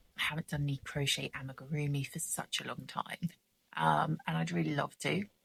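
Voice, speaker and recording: A woman speaks quietly, with a southern English accent, at a fairly quick pace. The sound is dry and close, without any echo. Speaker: craft vlogger. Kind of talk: casual chat.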